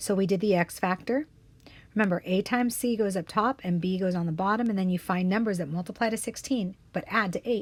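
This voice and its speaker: On a very clean recording with a silent background, a woman speaks at a fairly quick pace in a medium pitch with ordinary pitch variation. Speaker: math teacher. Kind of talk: tutorial. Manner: fast.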